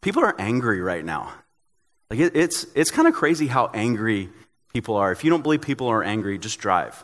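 Speaking at a fairly quick pace with an American accent, a man uses a medium pitch and very wide pitch swings on a very clean recording with a silent background. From Tennessee, US South. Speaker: pastor. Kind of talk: sermon.

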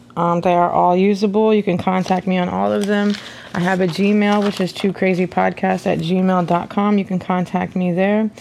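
A woman's medium-pitched, monotone, flat voice at a moderate pace and very even loudness, over noticeable background noise. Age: 30s. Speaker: podcast host. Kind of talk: solo monologue. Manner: casual, with filler words.

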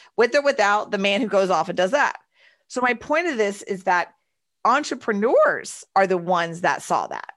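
The quiet background holds a woman's medium-pitched voice. She talks at a moderate pace with lively intonation. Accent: Texan. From Texas, Houston. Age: 40s. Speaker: entrepreneur and author. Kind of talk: casual interview. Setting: video call.

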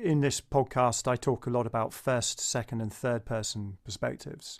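A man speaks at medium pitch. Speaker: podcast host. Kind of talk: interview conversation. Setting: video call. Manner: halting.

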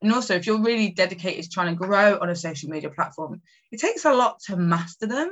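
Delivery races along at a very fast pace, the intonation lively throughout. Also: woman, medium pitch for a woman. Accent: East Midlands. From England, Nottingham. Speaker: marketing strategist. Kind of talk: interview.

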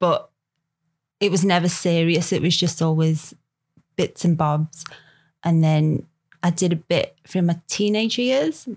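A woman with a Liverpool accent talks at a fairly low pitch and a fairly slow pace, with ordinary pitch variation, very even loudness and long, frequent pauses. The recording is very clean with a silent background. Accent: Scouse. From Liverpool, England. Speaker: photography model. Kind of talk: casual podcast interview.

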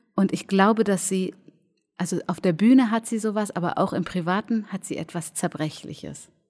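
Over music in the background, a woman talks at a moderate pace in a medium pitch with ordinary pitch variation. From Germany, near Cologne. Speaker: cabaret artist and clown. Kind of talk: casual interview. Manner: reserved; halting.

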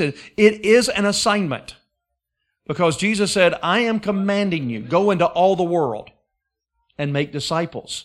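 A man speaks with an Alabama accent at a fairly slow pace. His pitch is high. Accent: Southern US (Alabama). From Alabama, US South. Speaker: guest preacher. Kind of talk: sermon. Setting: church service with congregation.

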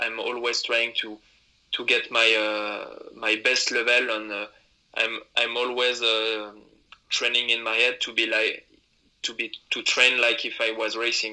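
A man with a French accent, medium pitch, a bright, sharp tone, and monotone, flat intonation. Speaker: alpine ski racer. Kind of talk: interview. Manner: halting.

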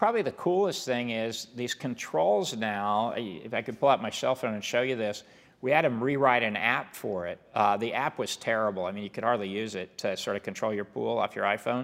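A man with an American accent uses an ordinary speaking voice at medium pitch with ordinary pitch variation. He talks at a fairly quick pace with hardly any pauses in a very clean recording with a silent background. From Kansas, small Mennonite farm town. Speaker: business executive. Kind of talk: interview.

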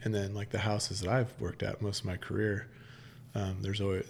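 Fairly low in pitch, this man talks at a fairly quick pace with an American accent and vocal fry. His pitch variation is ordinary. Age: 30s. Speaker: firefighter. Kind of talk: casual chat. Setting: studio.

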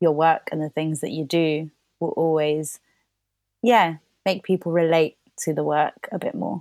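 In a London accent, the speaker talks at a fairly slow pace with fairly even intonation. The sound is dry and close with no echo, and the recording is very clean against a silent background. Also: woman. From London, England (born in Colombia). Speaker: playwright. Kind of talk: casual chat.

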